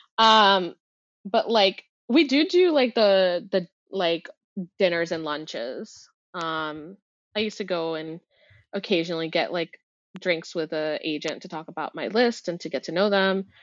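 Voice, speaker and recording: A woman with a medium pitch and ordinary pitch variation speaks at a fairly slow pace, pausing long and often. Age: 20s. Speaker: children's book editor. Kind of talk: casual chat. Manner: animated.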